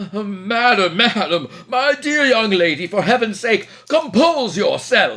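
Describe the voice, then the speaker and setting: Shouting in a shaky, high-pitched put-on character voice, a man speaks at a fairly slow pace with hardly any pauses. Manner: trembling scream.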